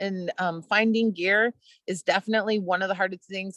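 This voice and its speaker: With a dry, close sound and no echo, a woman speaks at a moderate pace and medium pitch with ordinary pitch variation. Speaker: outdoor education presenter. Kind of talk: webinar presentation.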